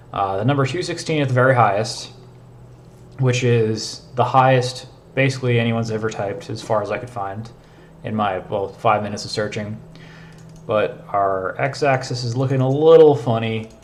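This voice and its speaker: A somewhat breathy man speaks at a moderate pace and medium pitch, with audible room echo. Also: ordinary pitch variation. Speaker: programming streamer. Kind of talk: live coding stream. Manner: casual, filler-heavy.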